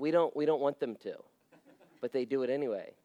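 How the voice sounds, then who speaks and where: A man with an American accent talks at a fairly quick pace in an animated tone. The sound is dry and close, with no echo. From Las Vegas, US. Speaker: pastor. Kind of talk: sermon.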